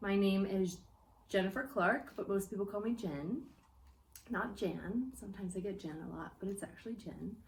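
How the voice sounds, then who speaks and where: Amid noticeable background noise and audible room echo, a woman with an American accent speaks at a moderate pace, at medium pitch with ordinary pitch variation. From United States. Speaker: church guest speaker. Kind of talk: testimony. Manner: hesitant with fillers.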